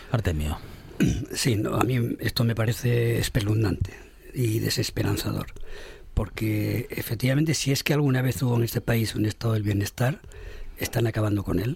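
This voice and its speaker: Against noticeable background noise, a man speaks at medium pitch and a moderate pace with ordinary pitch variation and very even loudness. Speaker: radio panelist. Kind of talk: panel debate. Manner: animated.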